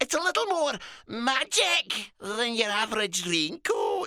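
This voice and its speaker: In a put-on character voice with a Scottish accent, the speaker moves at a fairly slow pace through very wide pitch swings, the sound dry and close with no echo. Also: man, extremely high pitch for a man. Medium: read story. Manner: chatty, friendly, brisk.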